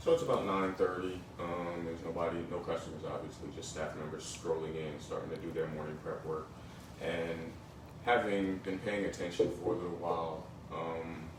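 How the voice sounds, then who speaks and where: A man with an American accent speaks at a moderate pace with a very deep, low pitch and monotone, flat intonation. The recording has audible room echo and noticeable background noise. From northern New Jersey (Bergen County). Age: 40s. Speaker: fired restaurant worker. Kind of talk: interview.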